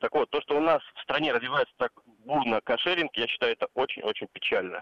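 A man speaking at a fairly quick pace. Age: 30s. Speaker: radio caller. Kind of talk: phone-in call. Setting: phone call.

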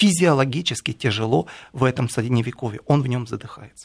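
Recorded very cleanly over a silent background, a man speaks at a fairly quick pace in a medium pitch with vocal fry. The sound is dry and close, with no echo. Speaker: writer and commentator. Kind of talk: radio studio discussion. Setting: radio studio.

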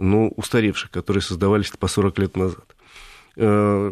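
A man talks with an unremarkable speaking voice, fairly low in pitch. The recording is very clean, with a silent background. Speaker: automotive columnist. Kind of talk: radio talk show discussion. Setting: studio.

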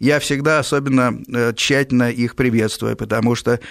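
At a moderate pace, a man speaks at a medium pitch. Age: 50s. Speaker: radio host. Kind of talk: call-in radio show. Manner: articulate, literary Russian.

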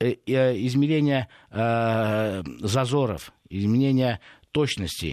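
Very slow male speech, medium in pitch, with normal rise and fall. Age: 50s. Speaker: food industry expert. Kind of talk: radio interview. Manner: hesitant, many filler sounds.

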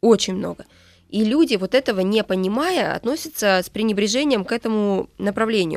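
A normal speaking voice from a woman, fairly high in pitch, fairly quick in pace and lively in intonation, with a dry, close sound and no echo. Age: 30s. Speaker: author and social media marketing agency co-founder. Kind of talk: radio interview. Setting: radio studio.

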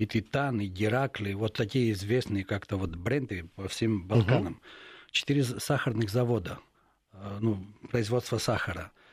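Recorded very cleanly with a silent background, a man with a fairly low, somewhat breathy voice speaks at a moderate pace with long, frequent pauses. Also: ordinary pitch variation. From Greece. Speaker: journalist. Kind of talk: radio interview. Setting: radio studio.

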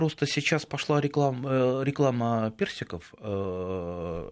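At a slow pace, a man speaks with medium pitch, fairly even intonation and a clear, smooth tone.

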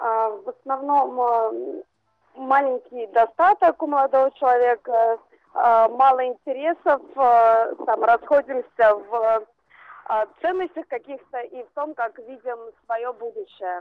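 A woman's high-pitched, lively voice at a very slow pace, broken by long, frequent pauses. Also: big swings in loudness. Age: 20s. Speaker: caller. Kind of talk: phone-in call.

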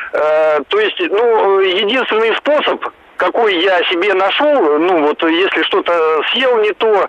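A man speaks at a fairly slow pace in a high voice with lively intonation. Noticeable background noise runs under the recording. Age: 40s. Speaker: caller. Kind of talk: call-in testimony. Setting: phone call.

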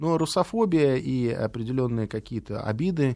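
With a dark, mellow tone and lively intonation, a man of medium pitch speaks against a quiet background. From Latvia, Riga. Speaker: political scientist and former diplomat. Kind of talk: interview.

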